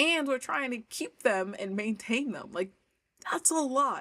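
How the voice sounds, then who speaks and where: Her pitch swinging very widely, a woman speaks with an American accent. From New York. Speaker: language coach. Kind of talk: casual livestream chat. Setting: livestream.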